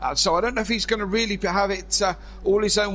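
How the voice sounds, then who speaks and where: With a Cornish accent, a high-pitched man talks at a very fast pace over noticeable background noise. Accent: Cornish twang. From Cornwall, England. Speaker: sim racing commentator. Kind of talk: live commentary. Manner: hesitant, many fillers.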